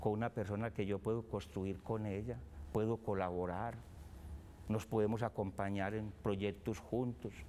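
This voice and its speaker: A man talks at a fairly slow pace with a fairly low pitch. His tone is dark and mellow, with ordinary pitch variation. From Colombia, Antioquia (rural, Salgar). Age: 60s. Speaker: businessman and foundation founder. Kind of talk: interview conversation.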